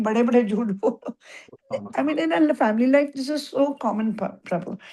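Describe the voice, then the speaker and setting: Her intonation lively, a woman speaks at a moderate pace. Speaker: devotee participant in scripture class. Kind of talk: casual discussion. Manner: loud; halting, code-switching Hindi-English.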